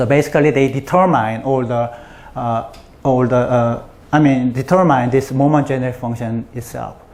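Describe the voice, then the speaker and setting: A man talks at a moderate pace in a medium pitch. Audible room echo surrounds his voice. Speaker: mathematician giving a colloquium talk. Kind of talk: lecture. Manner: halting, many fillers.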